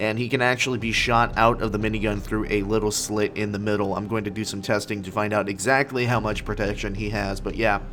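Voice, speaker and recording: A man speaks at a fairly low pitch with a flat, monotone delivery. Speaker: gaming YouTuber. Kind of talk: game review commentary. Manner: casual, conversational.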